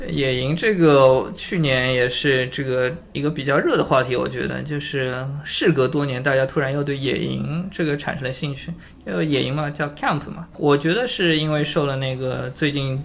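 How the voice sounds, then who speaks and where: A man with a fairly high pitch and ordinary pitch variation talks at a moderate speed against noticeable background noise. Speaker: IT worker. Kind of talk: casual chat.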